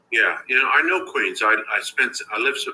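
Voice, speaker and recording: A man is speaking. He has a New York accent. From Brooklyn, New York. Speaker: author and speaker. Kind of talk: casual interview chat.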